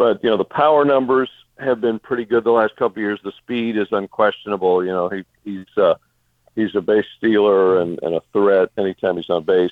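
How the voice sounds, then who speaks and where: An ordinary speaking voice, a man's, fairly low in pitch with ordinary pitch variation and a fairly quick pace. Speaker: sports broadcaster. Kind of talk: casual interview.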